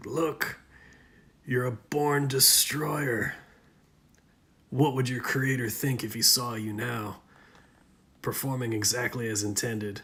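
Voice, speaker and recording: A man's raspy, hissing whisper in a put-on character voice, at a fairly slow pace with long, frequent pauses. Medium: solo performance. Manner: taunting, insinuating.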